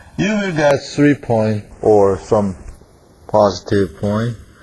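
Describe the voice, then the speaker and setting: Over noticeable background noise, a man with a Korean accent speaks with lively intonation. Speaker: professor. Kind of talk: lecture. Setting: classroom. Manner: halting.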